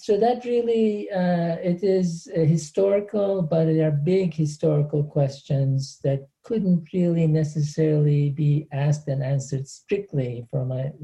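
A man with a Turkish accent speaks at a fairly high pitch. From Turkey, Antakya. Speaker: professor. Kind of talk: interview. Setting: video call.

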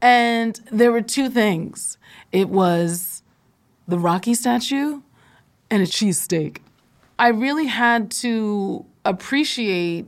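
The recording is very clean, with a silent background. A normal speaking voice with an American accent uses ordinary pitch variation. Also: woman. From Philadelphia. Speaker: podcast co-host. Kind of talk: casual interview conversation.

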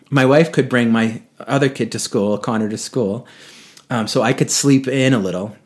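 A man with an American accent talks at a moderate pace in a medium pitch with ordinary pitch variation. It is a plain, everyday voice. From New England, Boston area. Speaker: yoga teacher and retreat leader. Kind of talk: casual interview.

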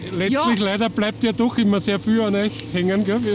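Over noticeable background noise, a man with a high pitch speaks with fairly even intonation. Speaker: podcast host and journalist. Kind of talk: casual interview chat; scripted narration.

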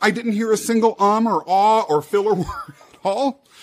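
Noticeable background noise sits under this recording. A man talks over it with a high pitch. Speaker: podcast host. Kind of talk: interview, casual chat.

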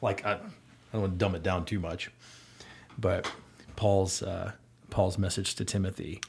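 The speaker has an American accent and talks at a moderate pace with long, frequent pauses. The intonation is monotone and flat, and the voice is somewhat breathy. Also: man, very deep, low pitch for a man. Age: 40s. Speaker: youth basketball coach. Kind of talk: casual chat.

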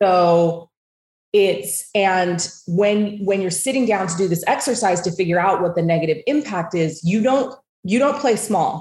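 An American woman with an American accent speaks at a fairly slow pace, her voice somewhat breathy. Her pitch is medium, with ordinary variation. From US West (southern Idaho and Utah). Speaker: wealth coach and entrepreneur. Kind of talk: interview conversation.

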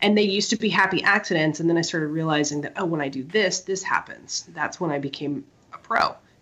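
Over noticeable background noise, a woman with an American accent talks at a very fast pace in a fairly low pitch with ordinary pitch variation. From small-town US Midwest and South. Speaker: artist and interior designer. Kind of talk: casual chat. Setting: in the room with co-host. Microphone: poor sound quality from mic problem.

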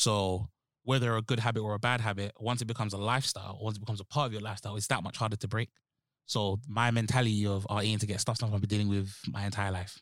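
A man with a London accent at a fairly low pitch, very fast pace and monotone, flat intonation, on a very clean recording with a silent background. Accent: London, Multicultural London English. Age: 20s. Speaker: podcast host. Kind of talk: casual chat.

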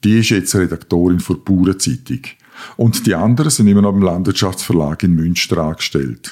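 Very deep and low in pitch, a man talks at a fairly quick pace with lively intonation. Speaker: editor-in-chief. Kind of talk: scripted comedic dialogue.

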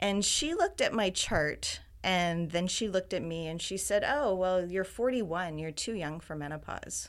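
With a Canadian accent, a woman speaks in an ordinary speaking voice at medium pitch and a moderate pace, using ordinary pitch variation and hardly any pauses. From Ontario, Canada. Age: 50s. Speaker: health community founder. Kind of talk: interview conversation.

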